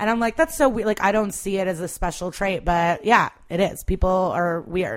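In an American accent, a woman speaks with a plain, everyday voice and lively intonation. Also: medium pitch for a woman, moderate pace, hardly any pauses. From US Midwest (Chicago area, Skokie). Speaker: stand-up comedian. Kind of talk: casual chat.

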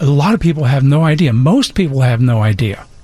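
There is ordinary pitch variation in this man's voice. He sounds somewhat breathy. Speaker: financial advisor. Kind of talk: casual radio chat.

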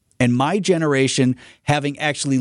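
With an American accent, a man speaks in an unremarkable speaking voice at a fairly high pitch, fairly slowly and with ordinary pitch variation. The background is quiet. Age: 40s. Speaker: radio news host. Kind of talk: morning radio talk. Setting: radio studio.

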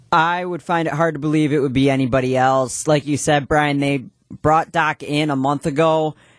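On a very clean recording with a silent background and a dry, close sound with no echo, a man with a plain, everyday voice speaks at a moderate pace, fairly high in pitch and with fairly even intonation. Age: young. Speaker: radio show producer. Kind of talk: live radio talk show. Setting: radio studio.

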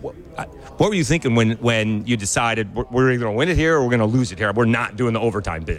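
A man's medium-pitched voice at a very fast pace, with hardly any pauses, ordinary pitch variation, and music in the background. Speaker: sports radio host. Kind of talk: radio interview.

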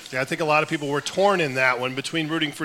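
Noticeable background noise fills the recording. Through it, a man can be heard speaking. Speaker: sports reporter and TV broadcaster. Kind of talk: live radio talk show interview. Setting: live at a restaurant with audience.

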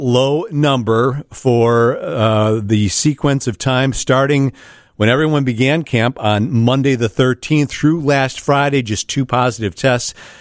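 An unremarkable speaking voice moves at a fairly slow pace with hardly any pauses, ordinary pitch variation and very even loudness, in a dry, close sound with no echo. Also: man. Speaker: radio host. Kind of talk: podcast hosting with intro.

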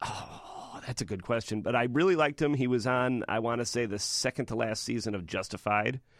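A man talks at a fairly quick pace in a medium pitch. His is an ordinary speaking voice, with ordinary pitch variation. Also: hardly any pauses. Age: 30s. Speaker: film critic. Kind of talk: casual chat.

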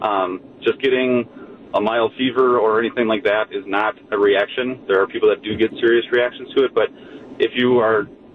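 A man's medium-pitched voice with fairly even intonation, over noticeable background noise. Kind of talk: casual chat. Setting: studio.

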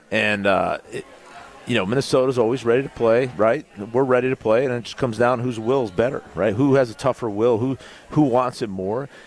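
There is noticeable background noise as a man talks at a fairly quick pace. His pitch is medium, and his intonation is fairly even. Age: 40s. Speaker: former NFL player and football analyst. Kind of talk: casual sports talk. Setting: live show at a pub.

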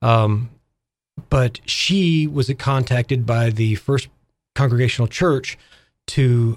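A man's somewhat breathy, medium-pitched voice with an Arkansas accent and ordinary pitch variation, on a very clean recording with a silent background. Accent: Southern US (Arkansas). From US South, Arkansas. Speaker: music shop owner and arts nonprofit president. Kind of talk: radio interview. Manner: halting.

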